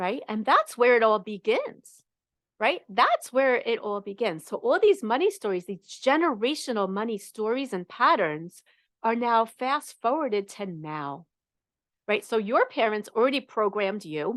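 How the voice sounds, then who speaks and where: Animated and fairly high-pitched, a woman with a New York accent speaks at a moderate pace with very wide pitch swings. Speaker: money coach. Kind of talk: live coaching session talk.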